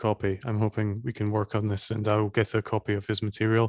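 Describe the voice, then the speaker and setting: A man with a Scottish accent speaks fairly quickly in a fairly low, monotone voice with flat intonation. The sound is dry and close with no echo, over a quiet background. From Scotland. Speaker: podcast host. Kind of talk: interview.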